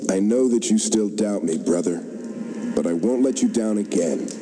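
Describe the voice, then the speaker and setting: This is a put-on character voice delivered at a moderate pace. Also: man, fairly low pitch for a man. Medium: video game.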